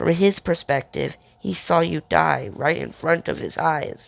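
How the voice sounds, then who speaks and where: Fairly slow speech in a put-on character voice, raspy throughout. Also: man. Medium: read story.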